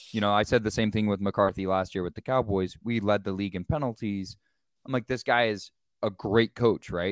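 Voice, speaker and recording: Fairly low in pitch, a man with a normal speaking voice talks at a fairly quick pace with fairly even intonation, the sound dry and close with no echo in a very clean recording with a silent background. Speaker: sports podcast co-host. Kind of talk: casual chat.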